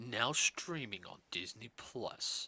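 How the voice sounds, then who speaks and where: A man performs a put-on character voice. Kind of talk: announcer-like. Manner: dramatic.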